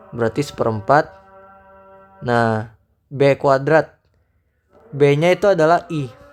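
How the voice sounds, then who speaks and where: Very slow speech with long, frequent pauses and music in the background. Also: man, fairly high pitch for a man, ordinary pitch variation. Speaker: math tutor. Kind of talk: tutorial. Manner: casual; loud.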